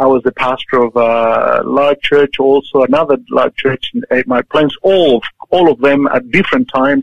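Speaking fairly slowly with a Chilean accent, a man with a fairly high voice uses ordinary pitch variation. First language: Spanish. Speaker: church leader, pastor. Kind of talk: interview. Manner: halting.

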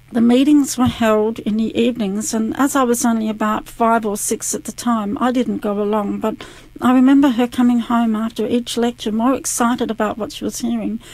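A woman with an Australian accent speaks fairly quickly at a fairly high pitch, with hardly any pauses. Her intonation stays fairly even. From South Australia, Adelaide. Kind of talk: testimony, read from prepared text.

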